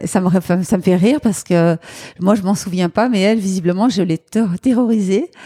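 The voice moves at a moderate pace with ordinary pitch variation and very even loudness. The sound is dry and close with no echo, though noticeable background noise can be heard. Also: woman, medium pitch for a woman. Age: 50s. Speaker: charity founder. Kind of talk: interview. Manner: lively.

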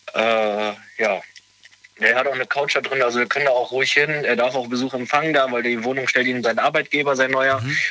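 There is noticeable background noise as a man talks at a fairly quick pace. His pitch is medium and his intonation fairly even. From western Germany, near Cologne. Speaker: caller. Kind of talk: phone call-in chat.

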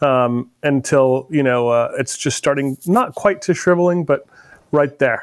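Delivered in a normal speaking voice at a fairly slow pace, the speech has ordinary pitch variation and very even loudness. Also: man, fairly high pitch for a man. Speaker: podcast host. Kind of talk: casual interview conversation.

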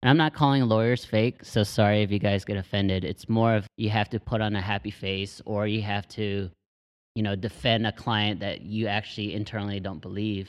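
Against a quiet background, a man with an American accent and a normal speaking voice talks at a fairly quick pace, fairly low in pitch, with fairly even intonation. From Texas. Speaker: podcast host. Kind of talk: casual chat.

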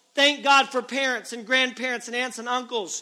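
A man speaks at an extremely high pitch. His tone is bright and sharp, his voice raised and projected. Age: 30s. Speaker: preacher. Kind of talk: revival sermon to young people, preacher in full flow. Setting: church revival service. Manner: fervent, rising exhortation with hammering repeated calls; earnest, urgent and direct address to the crowd.

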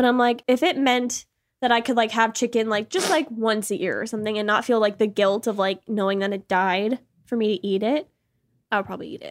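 A woman's ordinary speaking voice with an American accent, fairly high pitch and ordinary pitch variation, in a very clean recording with a silent background. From Massachusetts, US. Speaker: podcast co-host. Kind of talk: casual banter. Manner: profane, joking.

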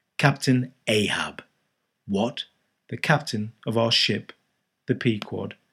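In a natural reading voice, the speaker keeps a fairly even intonation against a quiet background.

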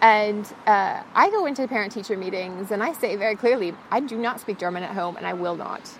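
With an American accent, a woman talks at a fairly quick pace and medium pitch, with ordinary pitch variation and hardly any pauses, over noticeable background noise. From United States. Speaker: freelance writer and translator. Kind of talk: casual chat. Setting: outdoors.

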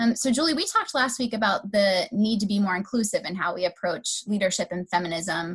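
Speaking at a fairly quick pace with hardly any pauses, a woman uses a medium pitch, lively intonation and a somewhat breathy voice. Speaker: guest host of a higher education podcast. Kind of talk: casual. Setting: remote call during pandemic.

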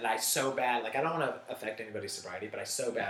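A man with an American accent at a very fast pace, ordinary pitch variation, noticeable background noise and audible room echo. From Northern California. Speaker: comedian. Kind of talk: casual chat.

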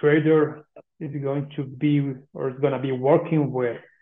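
In a Spanish accent, a man talks fairly slowly at a fairly high pitch with fairly even intonation. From Colombia. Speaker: coffee exporter. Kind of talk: interview.

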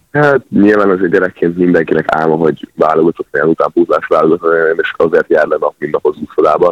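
A man talking at a very fast pace. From Hungary, Szeged. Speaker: water polo player. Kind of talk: radio phone interview. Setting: phone call.

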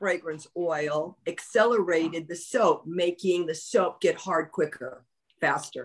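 Though her intonation is lively, a woman with a medium-pitched voice speaks at a very slow pace. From Los Angeles, California. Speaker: former pro wrestler and soap maker. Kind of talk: casual chat.

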